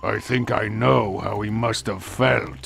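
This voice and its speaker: A man's growling, put-on character voice at a fairly low pitch and fairly slow pace, with clear background noise. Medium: video game. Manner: weary, sarcastic.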